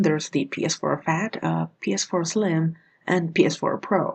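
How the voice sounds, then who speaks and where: A woman is speaking. Her voice has vocal fry. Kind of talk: casual buying guide talk to camera.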